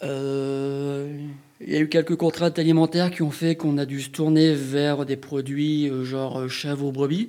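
With noticeable background noise behind him, a man speaks at a fairly slow pace with fairly even intonation and a fairly high pitch. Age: 40s. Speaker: sheep farmer and cheesemaker. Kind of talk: interview.

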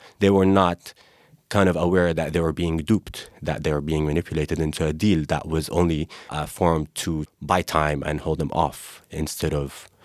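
A man's very deep, low voice in an Arabic accent, fairly slow and fairly even in intonation, in a very clean, dry, close recording with a silent background and no echo. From Gaza, Palestine. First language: Arabic (speaking French). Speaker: Palestinian activist. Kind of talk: interview.

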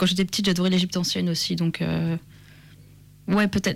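A woman's voice sits at a fairly low pitch. It comes across somewhat breathy. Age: 20s. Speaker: author. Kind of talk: interview.

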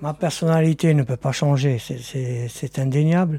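A man speaks with an Algerian accent and ordinary pitch variation. His tone is dark and mellow, and somewhat breathy. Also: very clean recording, silent background. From Algeria, Oran. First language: Algerian Arabic (speaking French). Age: 60s. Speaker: interviewee, producer's father. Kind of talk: recorded interview.

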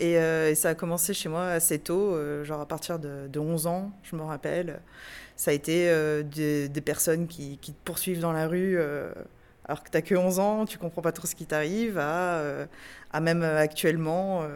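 In an ordinary speaking voice, a woman talks at a fairly low pitch with fairly even intonation. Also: moderate pace. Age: 30s. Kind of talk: testimony.

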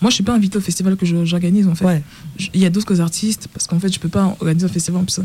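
Noticeable background noise under a very fast pace and ordinary pitch variation. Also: woman. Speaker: DJ and festival organizer. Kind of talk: radio panel discussion. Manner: halting.

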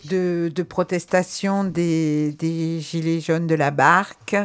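Her pace very slow, a woman speaks at a fairly low pitch with fairly even intonation. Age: 40s. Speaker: nurse, protest activist. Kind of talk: testimony on community radio.

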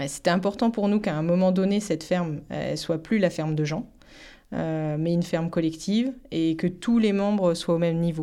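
Over a very clean recording with a silent background, a woman speaks at a moderate pace with a dark, mellow tone, very even loudness and ordinary pitch variation. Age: 40s. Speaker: farmer and artisan baker. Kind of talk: testimony. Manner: halting, many hesitations.

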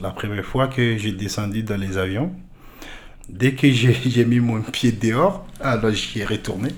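Over noticeable background noise and audible room echo, a man speaks at a very slow pace in a medium pitch with ordinary pitch variation. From Mali. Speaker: French language learner. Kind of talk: personal testimony.

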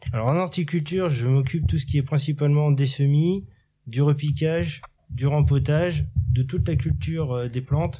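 Somewhat breathy and dark, mellow in tone, this man's voice sits fairly high in pitch. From Normandy, Cherbourg. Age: 30s. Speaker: horticulture worker at sheltered workshop. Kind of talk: interview.

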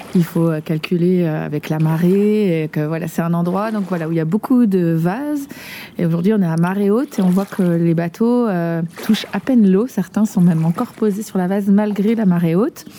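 A woman's medium-pitched voice with ordinary pitch variation, amid noticeable background noise. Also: moderate pace. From Nantes, France. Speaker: preschool teacher. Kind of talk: casual chat.

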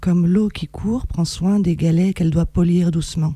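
This woman's voice is somewhat breathy, with a dark, mellow tone and fairly low pitch. She talks at a fairly slow pace with ordinary pitch variation. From France, Reims. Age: 40s. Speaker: poet and writer. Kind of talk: poetry reading. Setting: radio studio.

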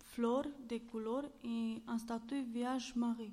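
A woman's very slow, monotone delivery with flat intonation and a dark, mellow tone. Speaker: civic service volunteer. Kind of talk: reading aloud and interview. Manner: halting.

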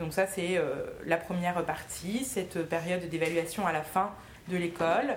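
Speaking at a fairly slow pace, a woman with a fairly low pitch and ordinary pitch variation is heard over noticeable background noise. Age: 20s. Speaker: magistrate. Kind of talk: talk to a school class. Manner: hesitant.

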